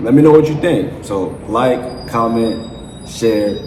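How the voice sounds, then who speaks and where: Over noticeable background noise and audible room echo, a man speaks at a very slow pace with lively intonation. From Jamaica. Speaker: YouTube commentator. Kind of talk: opinion vlog monologue. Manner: casual, halting with many fillers.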